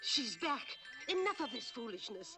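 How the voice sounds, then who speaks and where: The speaker puts on a character voice. Their pitch swings very widely. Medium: short film. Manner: brisk, bossy.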